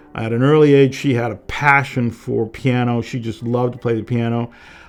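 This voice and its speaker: With music going in the background, a man talks in a medium pitch. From Massachusetts, Boston. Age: 70s. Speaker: tech consultant. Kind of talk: documentary interview.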